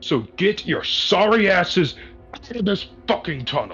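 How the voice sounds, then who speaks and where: A man's high-pitched, put-on character voice, with faint music in the background. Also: moderate pace. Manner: barking, commanding.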